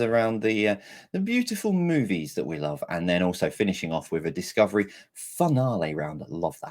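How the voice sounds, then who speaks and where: A man talks at a moderate pace while his pitch swings very widely. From England. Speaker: quiz master. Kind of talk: live virtual pub quiz hosting.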